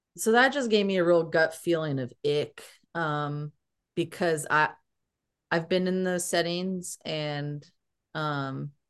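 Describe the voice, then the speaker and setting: A woman speaks at a very slow pace, her pitch fairly low for a woman with ordinary variation. Long pauses come often, and the background is quiet. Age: 30s. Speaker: podcast host, PhD student. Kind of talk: casual chat.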